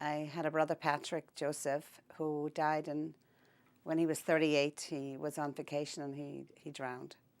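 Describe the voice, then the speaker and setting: In a Northern Irish accent, a woman speaks in a monotone with a very deep, low pitch on a very clean recording with a silent background. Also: moderate pace. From Northern Ireland, County Down (Holywood). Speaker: oral history interviewee. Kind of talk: interview. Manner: halting.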